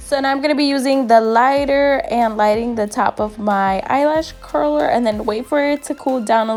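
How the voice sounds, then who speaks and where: Music plays in the background while a woman talks. Her intonation is lively and her pace moderate. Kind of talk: makeup tutorial voiceover. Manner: casual, chatty.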